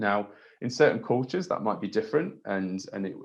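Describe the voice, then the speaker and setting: Over a quiet background, a man with an English accent speaks in a fairly low pitch. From England. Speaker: trampoline coach. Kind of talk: webinar lecture. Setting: online webinar. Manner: hesitant, many fillers.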